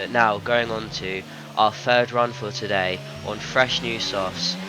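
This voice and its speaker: Noticeable background noise sits behind this man. His pitch varies in an ordinary way. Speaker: sim racing gamer. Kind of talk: gameplay commentary voice-over. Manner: casual, filler-heavy.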